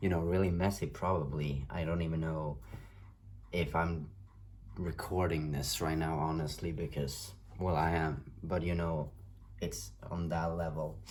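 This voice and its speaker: Speaking with a non-native accent, a man with a very deep, low pitch talks at a fairly slow pace with fairly even intonation, and audible room echo surrounds him. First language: not English. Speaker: tarot reader. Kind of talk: tarot reading monologue. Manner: halting, many fillers.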